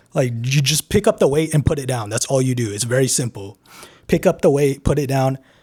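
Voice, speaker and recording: A man speaks fairly quickly at a medium pitch, his tone dark, mellow and somewhat breathy. His pitch varies in an ordinary way. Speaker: YouTuber, self-improvement channel. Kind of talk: candid vlog monologue. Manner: halting, with stutters and pauses; casual, heavy filler words.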